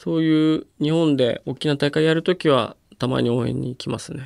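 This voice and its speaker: A man's fairly high voice, an ordinary speaking voice, at a moderate pace with fairly even intonation, dry and close with no echo, on a very clean recording with a silent background. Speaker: wheelchair rugby player. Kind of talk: interview. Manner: casual, with frequent fillers.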